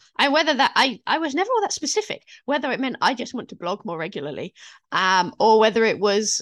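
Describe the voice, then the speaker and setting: A woman with a British accent, very fast pace and very wide pitch swings over a quiet background. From UK. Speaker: fantasy author, former librarian. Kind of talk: interview conversation.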